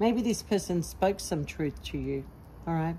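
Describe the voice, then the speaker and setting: Light background noise under a woman speaking. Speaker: tarot reader. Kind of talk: tarot reading monologue. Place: garden. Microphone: phone near.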